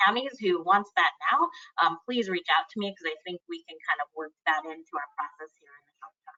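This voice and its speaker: A woman talks at a fairly quick pace and a medium pitch. Her intonation is lively, and her loudness swings widely. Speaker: campaign project manager. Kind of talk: webinar Q&A.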